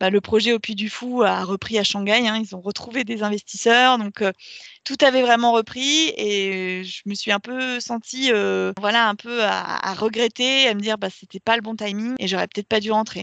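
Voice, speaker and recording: With a dry, close sound, no echo and a quiet background, a woman speaks at a fairly high pitch with fairly even intonation. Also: moderate pace. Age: 30s. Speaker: marketing coordinator and yoga teacher. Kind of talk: casual interview. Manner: hesitant, many fillers.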